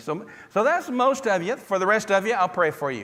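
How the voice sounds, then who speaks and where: A man speaks with a Southern US accent, and noticeable background noise sits behind him. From US South, Tennessee. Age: 60s. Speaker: preacher. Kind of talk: sermon. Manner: animated.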